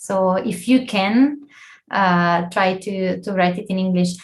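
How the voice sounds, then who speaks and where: Somewhat breathy, a woman with an Italian accent speaks at a fairly slow pace. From Italy. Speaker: scientific editor, guest lecturer. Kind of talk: lecture Q&A. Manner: halting.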